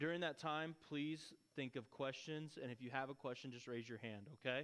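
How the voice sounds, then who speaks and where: A man speaks at a moderate pace with fairly even intonation. The recording is very clean, the background silent. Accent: West Texas. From Texas (Lubbock). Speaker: missionary. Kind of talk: church talk, testimony. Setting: church with audience. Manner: casual.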